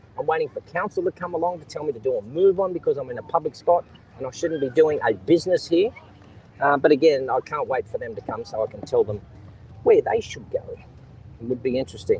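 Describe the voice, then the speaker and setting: An animated, very fast delivery in an Australian accent, with big swings in loudness. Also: man. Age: old. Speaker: live streamer. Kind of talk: live stream monologue. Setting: outdoors on a beach.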